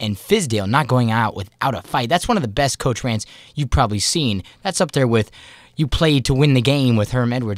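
A man sounds upbeat and enthusiastic, using ordinary pitch variation, in a dry recording with no echo and a quiet background. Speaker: college sports radio host. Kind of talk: energetic sports radio broadcast. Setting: radio studio on a university campus. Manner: upbeat, enthusiastic. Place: studio. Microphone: studio mic.

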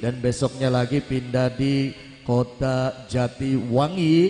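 Over music in the background and audible room echo, a man talks at a very slow pace in a monotone, flat intonation. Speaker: stage MC. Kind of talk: event announcement. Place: stage. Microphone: handheld.

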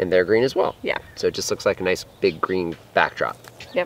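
A man talks at a moderate pace. The sound is dry, with no echo. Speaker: farm vlogger. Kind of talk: casual vlog chat. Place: garden.

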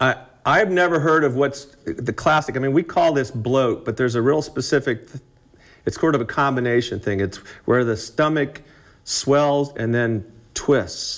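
A man with a fairly bright tone and medium pitch talks at a fairly slow pace with ordinary pitch variation.

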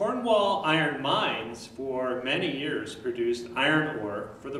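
Light background noise and audible room echo surround a man speaking at a fairly slow pace. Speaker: tour guide. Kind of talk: guided tour explanation. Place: hall.

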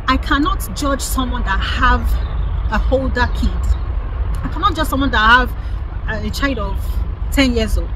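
A woman talks in a dry sound with no echo, with noticeable background noise. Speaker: lifestyle vlogger. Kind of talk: opinion commentary vlog. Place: garden. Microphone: phone near.

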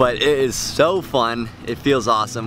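A man speaks with ordinary pitch variation. The sound is dry with no echo, and clear music plays in the background. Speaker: travel vlogger. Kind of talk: casual vlog chat. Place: boat. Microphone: phone near.

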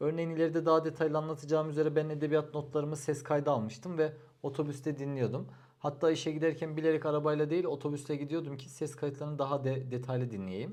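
At a very fast pace, a man speaks with a fairly high pitch and fairly even intonation. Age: 30s. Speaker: civil engineer giving exam advice. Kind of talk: advice vlog monologue.

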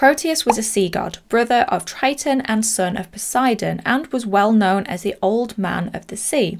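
A woman's medium-pitched voice with vocal fry, ordinary pitch variation and a moderate pace

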